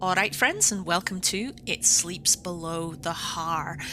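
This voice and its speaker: In a Scottish accent, a woman speaks at a fairly low pitch with fairly even intonation. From Scotland. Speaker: gaming video creator. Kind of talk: let's play commentary. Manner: casual, hesitant with many fillers.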